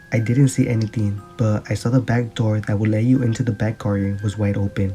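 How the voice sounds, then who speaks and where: Over music in the background, a man with a medium-pitched voice talks at a fairly quick pace. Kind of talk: scary story narration.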